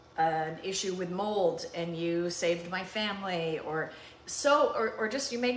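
A woman with ordinary pitch variation, some audible room echo and light background noise. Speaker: cooking show host. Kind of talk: heartfelt casual talk to viewers. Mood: warm, reflective, tender. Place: kitchen. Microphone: phone near.

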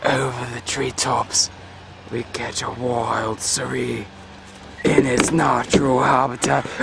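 Putting on a character voice at a medium pitch, a man speaks fairly slowly over clear background noise. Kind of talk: documentary narration. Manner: hushed, awed, mock-serious.

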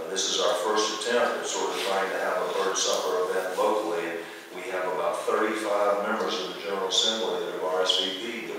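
A man speaks amid strong room echo. Light background noise sits underneath. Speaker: city manager giving report. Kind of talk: formal report to council. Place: hall. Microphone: camera far.

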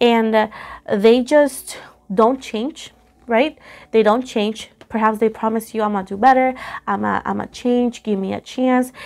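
The speaker is a woman talking fairly slowly. Her intonation is fairly even. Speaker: tarot reader. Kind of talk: tarot reading commentary. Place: home room. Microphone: phone near.

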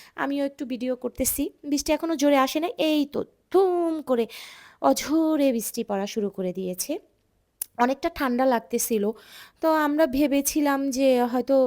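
A woman speaks at a high pitch in a dark, mellow tone with ordinary pitch variation. The recording is very clean with a silent background and a dry, close sound with no echo. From Bangladesh, Dhaka. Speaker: vlogger. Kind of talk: vlog narration.

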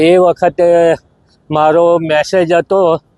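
Dry, close sound without echo, carrying a man's high-pitched voice. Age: 70s. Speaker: long-distance cyclist. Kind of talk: interview. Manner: halting.

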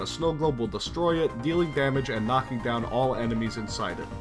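A man's intonation is lively, with music playing behind him. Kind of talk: game guide narration. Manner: casual, joking.

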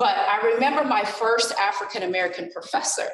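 A woman speaks with audible room echo. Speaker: college professor. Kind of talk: panel presentation. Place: classroom.

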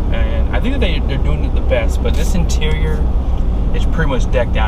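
Loud background noise surrounds a man as he talks. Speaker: truck reviewer. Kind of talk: casual vlog chat. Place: car. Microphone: phone near.

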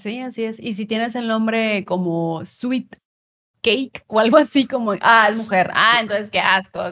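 A woman speaks at a fairly slow pace with ordinary pitch variation. Her tone is bright and sharp against a quiet background. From Mexico, Monterrey; Nuevo León, Mexico. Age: 30s. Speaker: content creator and streamer; content creator, streamer. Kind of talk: casual interview chat. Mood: cheerful, animated storytelling. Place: home room.

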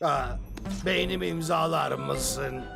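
A man does a cartoonish character voice at a fairly high pitch, slow and with vocal fry over faint music in the background. His tone is bright and sharp, with ordinary pitch variation.

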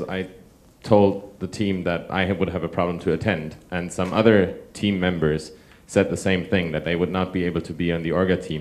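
This man's very deep, low pitch stays fairly even in intonation while he talks at a moderate pace. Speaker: software developer; audience member. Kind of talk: panel discussion. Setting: stage with audience. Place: hall. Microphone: handheld.

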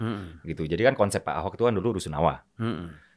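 A man speaks with ordinary pitch variation. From West Sumatra, Indonesia (Minang). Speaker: party politician. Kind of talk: political interview. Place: studio. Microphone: studio mic.

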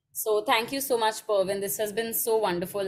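Faint music plays in the background. A woman talks at a moderate pace. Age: 20s. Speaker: interviewer, literary platform co-founder; interview host. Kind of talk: interview. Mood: warm, admiring. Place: home room.

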